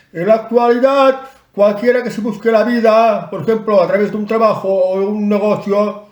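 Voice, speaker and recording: A man's high voice at a moderate pace with fairly even intonation and audible room echo. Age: 60s. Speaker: online commentator. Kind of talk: advice talk to camera. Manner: casual, some hesitations.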